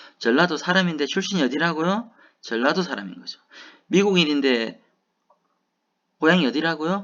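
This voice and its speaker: A man's fairly high voice with lively intonation and big swings in loudness, at a moderate pace with long, frequent pauses, against a quiet background. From South Gyeongsang, Hadong (Korea). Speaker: university lecturer. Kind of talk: lecture. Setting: online recorded class.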